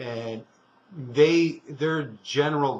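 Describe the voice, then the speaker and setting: A man speaks with fairly even intonation and a somewhat breathy voice. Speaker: co-host of a local sustainability talk show. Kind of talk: casual discussion. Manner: halting, with many fillers and restarts.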